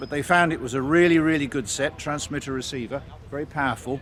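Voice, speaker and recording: In an English accent, a man talks at a fairly quick pace. His pitch varies in an ordinary way. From England. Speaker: military vehicle restorer. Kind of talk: casual explanation to camera. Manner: hesitant, many fillers.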